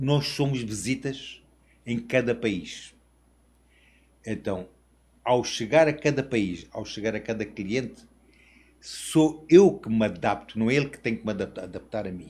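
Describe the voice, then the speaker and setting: The recording is very clean, with a silent background. A man speaks at a very slow pace with a medium pitch and ordinary pitch variation. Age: 60s. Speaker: international sales representative. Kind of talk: interview podcast.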